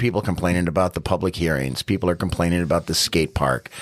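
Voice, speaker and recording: A man is speaking. His voice carries vocal fry. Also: very clean recording, silent background. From New York City. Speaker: city council candidate. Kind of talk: casual interview. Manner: loud.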